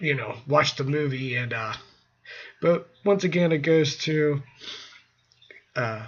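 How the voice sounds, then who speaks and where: A man is speaking. His pitch is fairly high. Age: 30s. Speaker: horror movie reviewer. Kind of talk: casual monologue review. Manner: halting, many fillers.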